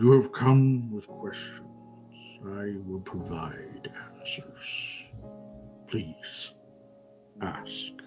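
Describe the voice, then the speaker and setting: In a put-on character voice, a man booms with a resonant, fairly low pitch over clear background music. His delivery is very slow, with long, frequent pauses. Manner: regal, commanding.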